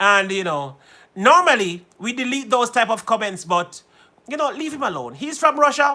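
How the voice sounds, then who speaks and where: This man talks in an extremely high pitch, his voice raised and projected. His tone is bright and sharp, with lively intonation. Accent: American. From Jamaica. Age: 40s. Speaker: musician and live-stream host. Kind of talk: casual live-stream chat. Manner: switches into Jamaican patois.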